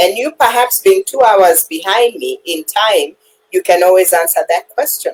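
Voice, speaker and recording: Her pitch is high and swings very widely as this woman speaks, with a dry, close sound and no echo. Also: moderate pace. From Kenya. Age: 60s. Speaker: retiree and digital business owner. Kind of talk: interview answer.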